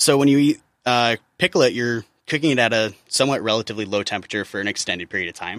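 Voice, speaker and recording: Dry and close with no echo, the recording has a man with an American accent talking at a very fast pace, medium pitch and ordinary pitch variation. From US Midwest. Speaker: chef. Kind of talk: interview.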